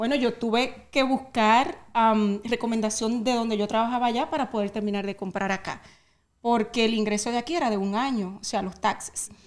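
This woman has a fairly high pitch and a normal speaking voice. Her intonation stays fairly even. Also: moderate pace. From Dominican Republic. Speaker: real estate agent. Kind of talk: interview.

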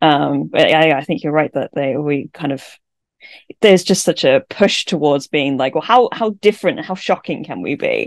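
Against a quiet background, a woman speaks with a very deep, low pitch and lively intonation. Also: moderate pace. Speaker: podcast co-host. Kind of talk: casual chat. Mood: thoughtful, reflective. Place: home room. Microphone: studio mic.

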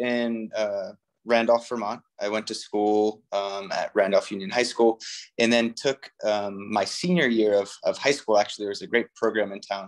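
Over a quiet background, a man talks at a moderate pace. His intonation stays fairly even. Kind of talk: interview answer. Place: home room. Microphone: phone near.

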